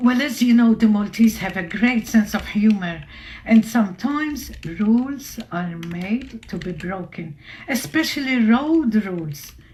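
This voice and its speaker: Over noticeable background noise, the speaker goes at a fairly slow pace with lively intonation. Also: woman, fairly high pitch for a woman. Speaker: radio host. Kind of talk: radio interview. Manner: loud.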